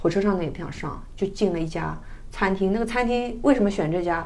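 A woman talks at a fairly quick pace with lively intonation. Her voice carries audible room echo. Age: middle-aged. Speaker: traveler. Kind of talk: casual chat.

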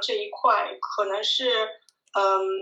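A woman's voice with audible room echo. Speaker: video blogger living abroad. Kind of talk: casual interview chat.

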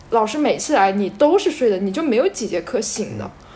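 Fairly quick speech full of very wide pitch swings, set against noticeable background noise. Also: woman. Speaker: volunteer English teacher. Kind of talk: casual chat.

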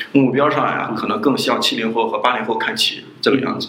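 Speech comes at a very fast pace, with audible room echo and noticeable background noise. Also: man. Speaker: graduate student, student union president. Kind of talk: interview.

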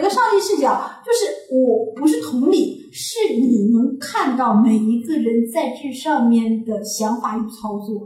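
A woman speaks in a strong Northeastern Chinese accent, her voice high and her intonation lively. She talks at a very slow pace with hardly any pauses, and the room echo is audible. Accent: Northeastern Mandarin, strong. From Northeast China. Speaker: podcast co-host. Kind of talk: casual chat.

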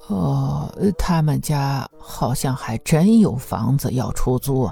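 Slow and lively in intonation, a woman's put-on character voice drops to an extremely low pitch, dark and mellow with a slightly husky edge and vocal fry, over faint music in the background.

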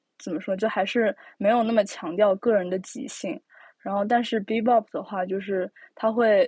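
A woman talks at a fairly slow pace in a fairly high pitch, with ordinary pitch variation. The sound is dry and close with no echo, over a quiet background. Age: young. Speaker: podcast host. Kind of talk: casual chat. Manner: hesitant, many fillers.

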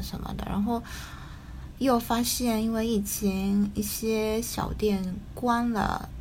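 Someone with a slight Taiwanese accent speaks at a very slow pace, with noticeable background noise and audible room echo. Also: woman. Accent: slight Taiwanese-tinged Mandarin. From Japan. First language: Japanese (speaking Chinese). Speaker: writer. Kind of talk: casual chat. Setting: video call. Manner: hesitant, many fillers.

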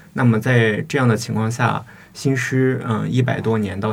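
Noticeable background noise runs under this recording. A man speaks at a medium pitch and a moderate pace. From Shiyan, Hubei, China. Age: 20s. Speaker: doctoral student and poet. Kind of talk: interview conversation. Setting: studio. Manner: hesitant, filler-heavy academic speech.

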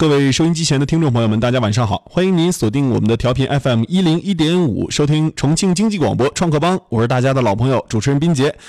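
A man's fairly high voice at a very fast pace, with lively intonation, hardly any pauses and very even loudness. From Northeast China. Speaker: radio host. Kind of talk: radio interview. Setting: radio studio.

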